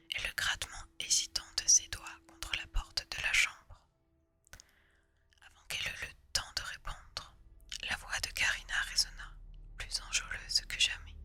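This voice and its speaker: A woman whispers fairly slowly with long, frequent pauses and big swings in loudness while noticeable background noise plays. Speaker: ASMR artist. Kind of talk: read story. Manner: whispered.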